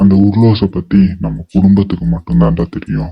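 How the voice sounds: Very wide pitch swings in a cartoonish character voice at a moderate pace. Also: man, very deep, low pitch for a man.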